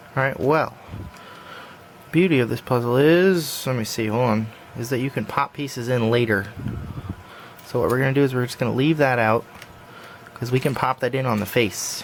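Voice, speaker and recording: A man speaks at a moderate pace and a medium pitch, with ordinary pitch variation and a relaxed tone. His pauses are long and frequent, and background noise is noticeable. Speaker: puzzle hobbyist tutorial maker. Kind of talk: tutorial. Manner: casual, relaxed.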